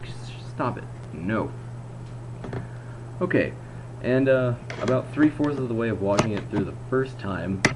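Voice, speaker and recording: A man speaks at a fairly slow pace, leaving long, frequent pauses, with noticeable background noise behind him. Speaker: video blogger reviewing movies. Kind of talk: casual video review monologue. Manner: slurred, drawn-out word pronunciation; halting, self-correcting.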